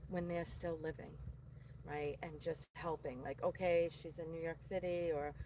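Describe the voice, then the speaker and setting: A woman with a strong Boston accent speaks at a moderate pace. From Boston area, Massachusetts. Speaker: psychic medium. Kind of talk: casual chat.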